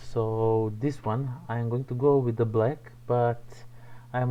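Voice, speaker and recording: A man talks at a fairly slow pace in a somewhat breathy voice. His pitch is medium, and he has a non-native accent. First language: not English. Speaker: miniature painting streamer. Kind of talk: live painting tutorial stream. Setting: home livestream. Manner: halting, searching for words.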